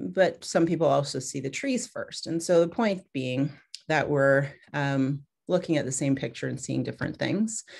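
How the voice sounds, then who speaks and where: A woman speaks with a very deep, low pitch and vocal fry. Her intonation is lively over a quiet background. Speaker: pediatrician. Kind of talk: webinar presentation. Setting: video call. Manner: fast.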